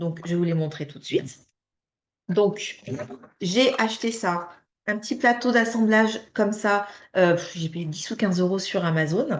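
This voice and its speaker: Lively intonation from a woman at a fairly slow pace. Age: 30s. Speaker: direct sales distributor. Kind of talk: sales pitch. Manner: hesitant, many fillers.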